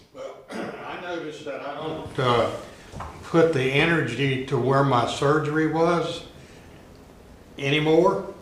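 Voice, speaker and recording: Very slowly, with long, frequent pauses, a man speaks in fairly even intonation while his loudness swings widely. Audible room echo and noticeable background noise fill the recording. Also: fairly high pitch for a man. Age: 80s+. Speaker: class participant. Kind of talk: casual sharing.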